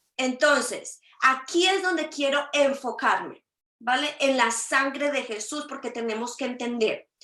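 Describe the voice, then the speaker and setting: A raised, projected voice at a fairly slow pace, with ordinary pitch variation. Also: woman, high pitch for a woman. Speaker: prophet preacher. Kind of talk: sermon. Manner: halting, stammering repeats.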